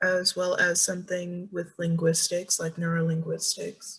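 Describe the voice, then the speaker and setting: A woman with an American accent speaks at a medium pitch and a fairly slow pace in an unremarkable speaking voice. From US South, Georgia. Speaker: student. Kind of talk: class presentation.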